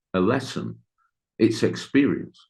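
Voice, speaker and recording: A man with an English accent, vocal fry, very wide pitch swings and a fairly slow pace. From Britain. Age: 50s. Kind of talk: interview. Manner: halting.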